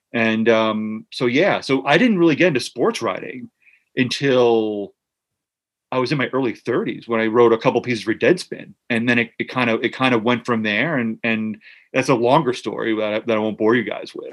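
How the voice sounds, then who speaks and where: Against a quiet background, a man talks with a medium pitch. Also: ordinary pitch variation, moderate pace. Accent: New Jersey. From US Northeast, Central New Jersey (Monmouth County). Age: 40s. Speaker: author and sports writer. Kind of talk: casual interview chat.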